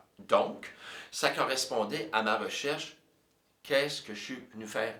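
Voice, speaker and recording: A man's bright, sharp tone with audible room echo. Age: 60s. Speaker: composer and music teacher. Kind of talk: personal storytelling monologue. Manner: hesitant, many fillers.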